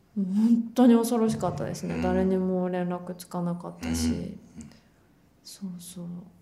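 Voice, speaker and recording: There is audible room echo around this recording. A woman talks at a moderate pace. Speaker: actor. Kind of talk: casual interview.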